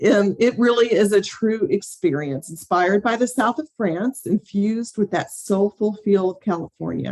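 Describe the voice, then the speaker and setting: A woman at medium pitch talks at a moderate pace with hardly any pauses and ordinary pitch variation, in a dry, close sound with no echo. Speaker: presenter describing group travel destinations. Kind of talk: business presentation. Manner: casual, with frequent filler "um".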